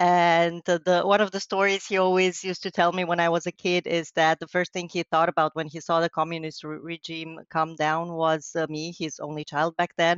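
With a Romanian accent, a woman speaks at a fairly low pitch and fairly quick pace in a flat monotone, with hardly any pauses. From western Romania, near Hungarian border. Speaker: wedding and event planner. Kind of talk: interview.

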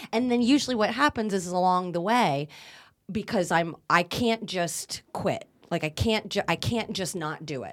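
With an ordinary speaking voice, a woman talks at a moderate pace and medium pitch, her intonation lively. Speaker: communication teacher and actor. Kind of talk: casual chat.

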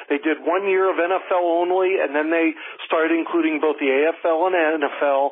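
A man with an American accent and fairly high pitch speaks at a moderate pace with fairly even intonation and very even loudness, over noticeable background noise. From Pennsylvania. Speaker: football uniform historian. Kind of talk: interview. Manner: halting.

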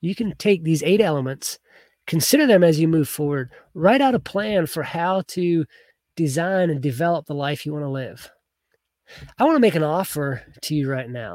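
A normal speaking voice moves at a moderate pace with lively intonation on a very clean recording with a silent background. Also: man, fairly high pitch for a man. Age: 30s. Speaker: youth coach and podcast host. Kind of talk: motivational talk. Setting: livestream with camera and notes.

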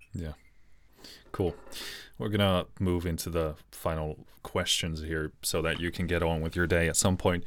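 A man with a very deep, low pitch talks at a moderate pace in monotone, flat intonation, leaving long, frequent pauses. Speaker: YouTube interviewer. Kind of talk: interview. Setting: home studio video call.

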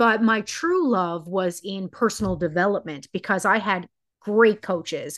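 A woman's unremarkable speaking voice, medium in pitch, at a fairly slow pace with ordinary pitch variation against a quiet background. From Newfoundland, Canada. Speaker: hairstylist turned psychological safety coach. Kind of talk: interview conversation.

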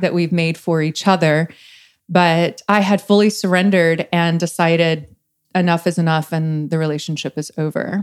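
Speaking in a normal speaking voice with an American accent, a woman keeps a fairly low pitch and fairly even intonation. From East Texas. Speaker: relationship coach. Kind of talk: casual chat.

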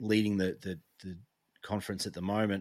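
A man with an Australian accent, fairly low in pitch and fairly quick in pace, on a very clean recording with a silent background and a dry, close sound with no echo. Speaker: sports podcast co-host. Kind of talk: casual chat.

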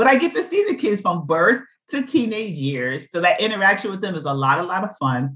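Speaking fast-ish in an American accent, a woman has a medium pitch and an animated tone. Her pitch swings very widely at a fairly quick pace. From New York City (Brooklyn). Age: 60s. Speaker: nurse practitioner and author. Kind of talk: interview.

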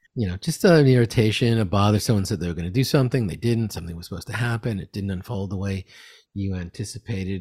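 A man's somewhat breathy voice sits at a fairly low pitch with ordinary pitch variation, recorded very cleanly against a silent background with a dry, close sound and no echo. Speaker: meditation teacher. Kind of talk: guided meditation.

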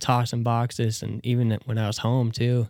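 A man with a Midwestern American accent, medium pitch and a dark, mellow tone, at a moderate pace, on a very clean recording over a silent background. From US Midwest, northeast Nebraska. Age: 20s. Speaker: skate shop owner. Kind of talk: casual interview.

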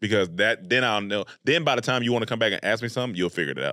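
A bright, sharp, animated tone carries lively intonation in a Southern US accent. The recording is very clean, with a silent background. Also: man. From US South, North Carolina (Raleigh-Durham). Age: 30s. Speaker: comedian and YouTube creator. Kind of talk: casual interview chat.

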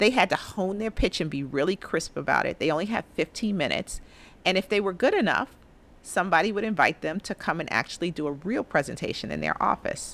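Very fast, lively speech with vocal fry and an American accent on a very clean recording with a silent background. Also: woman, medium pitch for a woman. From New York City, the Bronx. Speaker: investment executive. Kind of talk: interview.

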